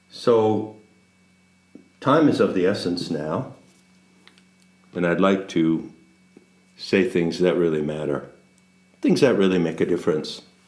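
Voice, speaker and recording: Speech at a fairly slow pace, with ordinary pitch variation and long, frequent pauses, rings with audible room echo. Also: man, very deep, low pitch for a man. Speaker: spiritual teacher. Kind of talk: casual monologue. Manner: slow cadence punctuated by silence; pauses, gaps of silence.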